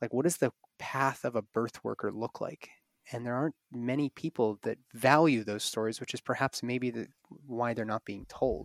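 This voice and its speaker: An ordinary speaking voice comes through at a moderate pace with fairly even intonation and a dry, close sound with no echo. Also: man, medium pitch for a man. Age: 30s. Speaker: podcast co-host, birth worker. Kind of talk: casual chat.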